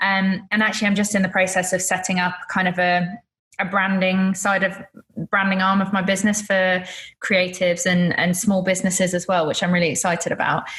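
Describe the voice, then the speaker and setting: Speaking at a fairly quick pace, a woman keeps her medium pitch in a monotone, flat intonation. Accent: British. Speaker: photographer. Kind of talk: interview.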